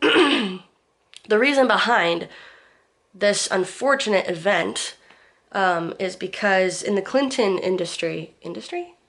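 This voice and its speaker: A woman at medium pitch with lively intonation and a very slow pace. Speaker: vlogger. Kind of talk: casual vlog monologue.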